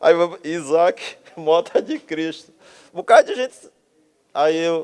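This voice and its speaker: Dry and close with no echo, a man's voice sounds high pitched. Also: ordinary pitch variation, fairly slow pace. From Brazil, Bahia (Camaçari). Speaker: architect, artist and writer. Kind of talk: casual interview conversation. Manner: animated.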